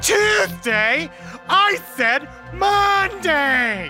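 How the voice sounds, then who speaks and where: A put-on character voice, fairly high-pitched with very wide pitch swings, over clear background music. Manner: shrieking, high-pitched, comic.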